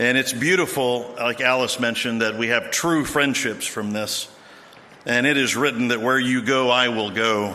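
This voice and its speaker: There is noticeable background noise as a man talks at a moderate pace with a medium pitch and fairly even intonation. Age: 60s. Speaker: BMX veteran speaker. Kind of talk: ceremony speech.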